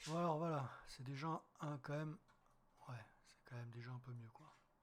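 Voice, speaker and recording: A man speaks at a moderate pace with a somewhat breathy voice. His pitch varies in an ordinary way. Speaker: wildlife photographer. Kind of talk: tutorial. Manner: casual, hesitant.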